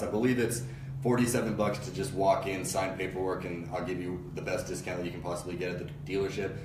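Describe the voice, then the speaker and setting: Speech in an American accent comes at a very fast pace, with audible room echo and noticeable background noise. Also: man. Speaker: online marketer and car buying advisor. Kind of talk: casual live stream talk. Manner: loud; halting with many fillers.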